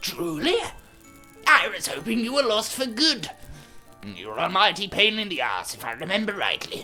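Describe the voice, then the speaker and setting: Music plays clearly in the background. Over it comes a put-on character voice at a fairly high pitch. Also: moderate pace. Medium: read story.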